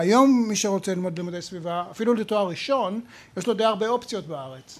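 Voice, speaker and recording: A man speaks at a fairly quick pace with a high pitch. His pitch moves in an ordinary way. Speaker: professor. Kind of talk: public talk before a live audience. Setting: bar with audience.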